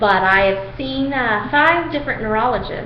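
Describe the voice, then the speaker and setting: With lively intonation and a fairly slow pace, a woman speaks in a room with audible echo and noticeable background noise. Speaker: video diarist with chronic illness. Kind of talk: personal video diary. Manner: halting, many fillers.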